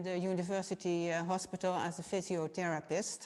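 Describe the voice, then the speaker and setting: In a very clean recording with a silent background, a woman with a Dutch accent talks at a moderate pace and medium pitch. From Netherlands, Nijmegen. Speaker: physiotherapist. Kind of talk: lecture. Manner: halting.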